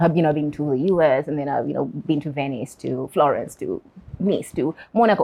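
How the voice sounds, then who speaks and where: The speech moves at a fairly quick pace. The pitch varies in an ordinary way. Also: woman, very deep, low pitch for a woman. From Uganda. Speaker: interview guest. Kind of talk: interview. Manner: hesitant, repeats words.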